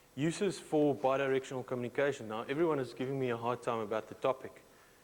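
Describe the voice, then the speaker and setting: The man's voice sits at a medium pitch while his words come out very fast. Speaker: security researcher. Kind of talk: conference presentation. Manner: halting.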